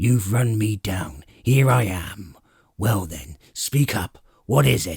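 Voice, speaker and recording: Growling in a put-on character voice, a man speaks very slowly at a fairly low pitch. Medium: read story. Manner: gruff, curt.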